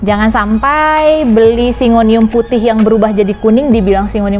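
A woman speaks at a moderate pace with ordinary pitch variation while faint music plays in the background. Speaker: plant shop host. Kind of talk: casual product explainer. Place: garden.

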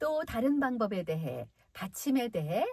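A somewhat breathy woman's voice at a fairly slow pace, with very wide pitch swings. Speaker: voice actor. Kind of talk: friendly explanation to children. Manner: clear, friendly, teacher-like.

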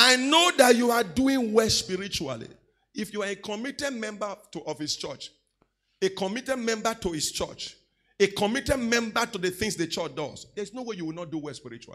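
A man with a Nigerian accent speaks in a raised, projected voice at a high pitch, with a bright, sharp tone and lively intonation. His pace is fairly quick, his loudness swings widely, and the background is quiet. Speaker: pastor. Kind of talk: teaching sermon with call-and-response to congregation. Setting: church. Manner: exhorting, repeatedly demanding 'say amen' from the crowd; conversational with fillers and self-corrections. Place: church. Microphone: handheld.

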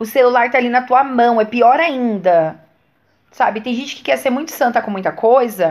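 A woman speaks at a moderate pace in a high pitch, her tone animated and her intonation lively. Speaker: video blogger, church member. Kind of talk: casual vlog monologue.

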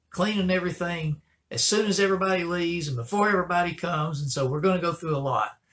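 A man talks at a very fast pace. His pitch is high, with ordinary variation. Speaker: pastor. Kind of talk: church announcements. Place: office. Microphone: webcam.

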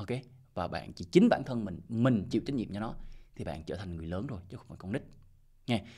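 The background is quiet as a man talks. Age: 40s. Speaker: crypto investment YouTuber. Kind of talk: casual monologue advice video. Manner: repetitive, halting with fillers. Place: home room. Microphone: studio mic.

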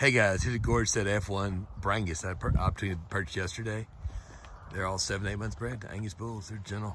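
Talking at a very fast pace in a Texan accent, a man with a fairly low pitch and ordinary pitch variation sounds dry with no echo, though noticeable background noise is present. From US South, Texas. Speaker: cattle seller. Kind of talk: cattle sale pitch. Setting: outdoors at a ranch. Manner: fast, plain-spoken salesman patter. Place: farm machine. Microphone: phone near.

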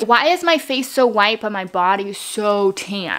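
Faint noise sits behind a woman's voice. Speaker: vlogger. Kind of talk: casual vlog chat. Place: home room. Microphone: phone near.

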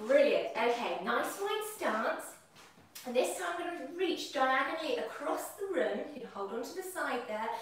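A woman at a fairly slow pace, in strong room echo. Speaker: fitness instructor. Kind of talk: exercise class instruction. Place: kitchen. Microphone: camera far.

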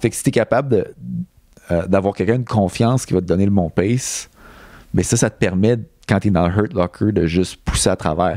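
A dark, mellow tone in a Quebec accent at a fairly quick pace, with ordinary pitch variation, long, frequent pauses, and dry sound with no echo over a quiet background. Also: man, fairly low pitch for a man. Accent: Québécois French. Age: 30s. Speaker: Olympic middle-distance runner; guest. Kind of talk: casual interview. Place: studio. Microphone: handheld.

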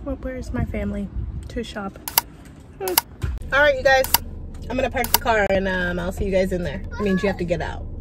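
There is crowd noise in the background as a woman speaks. The sound is dry, with no echo. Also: fairly quick pace. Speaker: vlogger. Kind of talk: casual vlog chat. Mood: playful, teasing. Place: car. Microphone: phone near.

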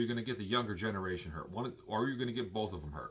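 A man talking at a very fast pace. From Milwaukee, Wisconsin, US Midwest; Wisconsin. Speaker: YouTuber; vlogger. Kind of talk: vlog monologue. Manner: casual, hesitant with fillers. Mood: earnest, concerned.

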